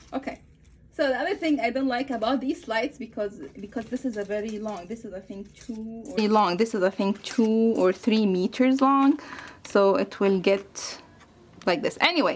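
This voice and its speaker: With noticeable background noise behind her, a woman with a non-native accent speaks at a fairly high pitch with ordinary pitch variation. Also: moderate pace. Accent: non-native English speaker. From Egypt. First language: Arabic. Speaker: craft YouTuber. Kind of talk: tutorial. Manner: halting, many fillers.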